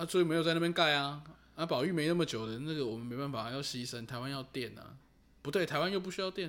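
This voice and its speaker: The speech is mumbled at a very fast pace. Pitch variation is ordinary. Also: man, fairly high pitch for a man. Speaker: podcast co-host. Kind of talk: casual chat about referendums. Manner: casual, mumbled everyday speech.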